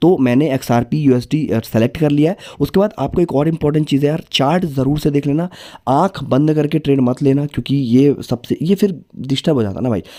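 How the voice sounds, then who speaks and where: A fairly high-pitched man with a dark, mellow tone, ordinary pitch variation and a moderate pace. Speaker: crypto trading youtuber. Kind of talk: tutorial. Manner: casual, conversational.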